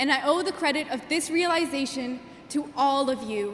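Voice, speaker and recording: A woman talks at a moderate pace with ordinary pitch variation, amid noticeable background noise and audible room echo. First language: Gujarati. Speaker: graduating student valedictorian. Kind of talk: commencement speech. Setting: stage with audience. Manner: formal.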